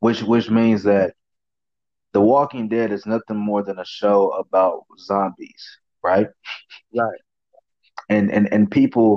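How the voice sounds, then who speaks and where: The speaker's dark, mellow voice moves fairly slowly in a flat monotone, broken by long, frequent pauses, in a dry, close sound with no echo. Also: man, fairly low pitch for a man. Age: 20s. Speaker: podcast host. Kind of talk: casual chat.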